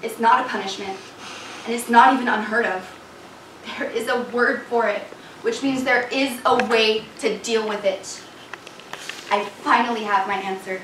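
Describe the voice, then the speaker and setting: A woman talks in a room with audible echo, and noticeable background noise runs underneath. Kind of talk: dramatic first-person reading. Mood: earnest, reflective. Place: stage. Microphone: camera far.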